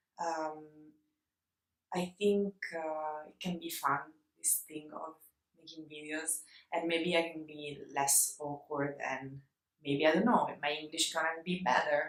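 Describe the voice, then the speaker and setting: A woman with an Italian accent speaks at a fairly slow pace in a very deep, low voice, her intonation fairly even, her loudness swinging widely, and her pauses long and frequent. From Italy. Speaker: illustrator. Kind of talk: casual vlog talk to camera. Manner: hesitant, many fillers.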